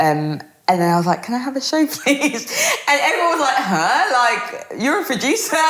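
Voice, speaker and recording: At a fairly quick pace with very wide pitch swings, the voice carries audible room echo and noticeable background noise. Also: woman. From Birmingham, England. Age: 20s. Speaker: radio presenter and DJ. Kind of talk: interview conversation. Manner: fast; animated.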